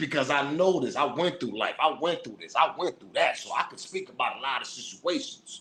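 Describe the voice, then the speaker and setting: A man talks at a moderate pace. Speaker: hip-hop news commentator. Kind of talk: casual commentary monologue. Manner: aggressive.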